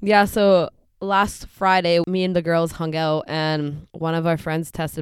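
The speaker has a Canadian accent, and the recording is very clean with a silent background. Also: woman. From western Canada (Delta and Surrey, British Columbia). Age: 20s. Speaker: podcast co-host. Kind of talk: casual chat.

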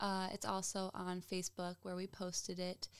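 A woman with an American accent uses a normal speaking voice, a medium pitch and a moderate pace. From Michigan. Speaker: podcast co-host. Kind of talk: casual chat; scripted outro. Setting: home with dogs present.

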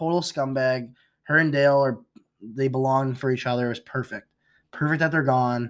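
Fairly even in intonation, a man with an American accent has an ordinary speaking voice on a very clean recording with a silent background. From outside the US. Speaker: podcast co-host. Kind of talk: casual chat.

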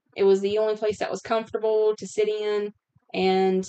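Her tone dark and mellow, a woman of medium pitch speaks at a moderate pace with monotone, flat intonation. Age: 30s. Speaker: podcast host. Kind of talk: casual chat.

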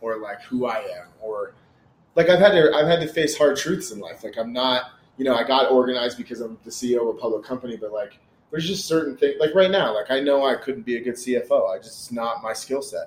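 A man's voice with big swings in loudness and lively intonation. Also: medium pitch for a man, fairly quick pace. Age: 30s. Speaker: entrepreneur and former comedian. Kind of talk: casual chat.

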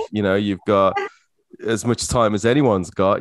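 A man's fairly low-pitched voice, an unremarkable speaking voice, at a fairly quick pace, with a dry, close sound and no echo. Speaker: podcast host. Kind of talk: casual interview chat.

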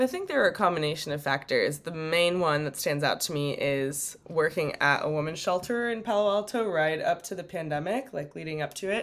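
A woman with a Californian accent talks at a fairly quick pace with hardly any pauses, her fairly low voice carrying lively intonation. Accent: Californian American. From US West Coast, San Francisco Bay Area. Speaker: non-profit director. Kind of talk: interview.

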